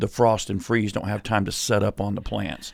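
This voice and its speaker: A man with a fairly low voice speaks at a moderate pace. His delivery is flat and monotone with vocal fry. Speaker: pastor. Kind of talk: casual chat.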